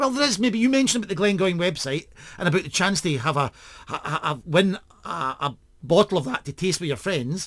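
Talking at a fairly quick pace, a man uses a high voice. His pitch swings very widely. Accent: Scottish. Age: 50s. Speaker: podcast host. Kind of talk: casual chat.

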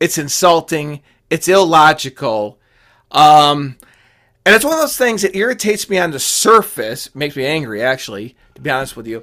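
In a very clean recording with a silent background, a man speaks in an animated, bright, sharp tone at a fairly high pitch, with very wide pitch swings and big swings in loudness. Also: moderate pace. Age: 40s. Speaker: political podcast host. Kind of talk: opinion monologue.

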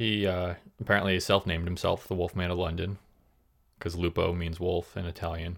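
A man speaks in a very deep, low voice with a flat, monotone delivery, recorded very cleanly against total silence. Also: fairly quick pace. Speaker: podcast host. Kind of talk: casual chat with storytelling.

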